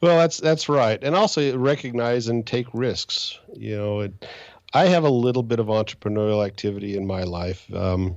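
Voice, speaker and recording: With an American accent, a man speaks in a plain, everyday voice at a medium pitch. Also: lively intonation, moderate pace. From Utah and Indiana, US. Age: 60s. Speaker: angel investor and financial advisor. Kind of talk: interview. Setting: podcast.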